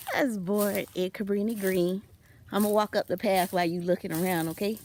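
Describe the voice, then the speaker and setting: Medium-pitched speech from a woman with an American accent, over noticeable background noise. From US Midwest, Chicago. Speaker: vlogger, homesteader. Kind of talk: casual vlog walkthrough. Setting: outdoors.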